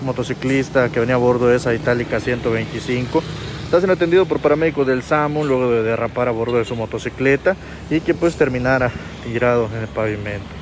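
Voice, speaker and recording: Noticeable background noise surrounds a man speaking at a fairly quick pace. His pitch variation is ordinary, and the sound is dry with no echo. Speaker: news reporter. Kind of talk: on-scene news commentary. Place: street. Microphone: phone near.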